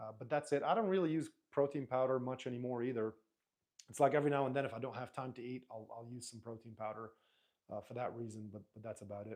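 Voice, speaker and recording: A man talks at a very fast pace. His voice shows big swings in loudness. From Lebanese, raised in Dubai. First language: Arabic. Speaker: YouTuber. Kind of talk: live stream chat. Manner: casual, halting with fillers.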